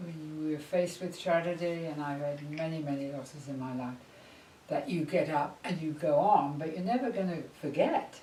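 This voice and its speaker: At a moderate pace, a woman with an English accent speaks in a very deep, low voice with ordinary pitch variation, with audible room echo and noticeable background noise. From England. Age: 80s+. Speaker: psychologist. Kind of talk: interview.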